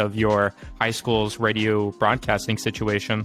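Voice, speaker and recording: With music in the background, a man speaks at a moderate pace and a medium pitch. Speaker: podcast host. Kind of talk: interview questions.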